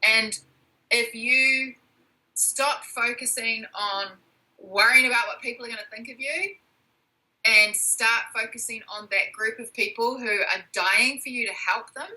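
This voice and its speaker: With a New Zealand accent, a woman speaks at a fairly slow pace in a fairly high voice. Her loudness swings widely. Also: ordinary pitch variation. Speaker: entrepreneur coach and author. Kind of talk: interview.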